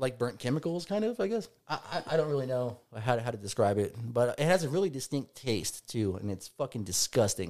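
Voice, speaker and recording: Lively in intonation, a normal speaking voice moves at a fairly quick pace with hardly any pauses. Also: man, medium pitch for a man. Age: 30s. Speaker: recovering addict, machinist. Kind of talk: casual chat. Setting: studio.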